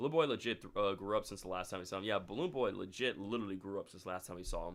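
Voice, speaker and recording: At a very fast pace, a man speaks at a fairly low pitch with ordinary pitch variation. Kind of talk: casual streamer, friendly but asking chat to calm down. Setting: live stream.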